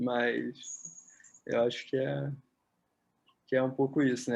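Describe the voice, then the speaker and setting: His pitch is medium. The man talks very slowly. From Brazil, Rio de Janeiro. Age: 30s. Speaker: physiotherapist and psychotherapist. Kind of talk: interview. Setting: at home.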